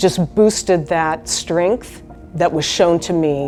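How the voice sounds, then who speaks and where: Music plays in the background as a woman with a fairly low pitch speaks at a very slow pace with fairly even intonation. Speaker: hospital chaplain. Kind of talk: interview answer.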